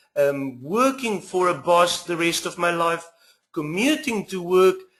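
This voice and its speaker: In a South African accent, a man talks at a fairly slow pace. His pitch is high and his intonation lively. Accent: Afrikaans South African. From South Africa, small west coast town. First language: Afrikaans. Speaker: internet marketer, former teacher. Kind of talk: webinar sales pitch.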